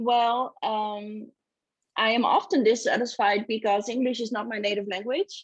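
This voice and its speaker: A woman speaks in a Dutch accent at a moderate pace. Her pitch is fairly high and her intonation fairly even. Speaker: author. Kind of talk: casual chat. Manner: halting.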